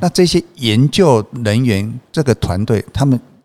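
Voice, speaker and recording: A man talks at a fairly slow pace in an ordinary speaking voice, pitched in the medium range. The sound is dry and close, with no echo. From Taiwan, Changhua (Hemei). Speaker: textile company chairman. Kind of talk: interview conversation.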